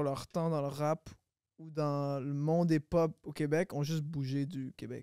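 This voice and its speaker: The recording is very clean and the background silent. Speech unfolds at a fairly slow pace. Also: man. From Quebec, Longueuil (Montreal area). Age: 20s. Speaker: rapper. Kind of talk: casual chat.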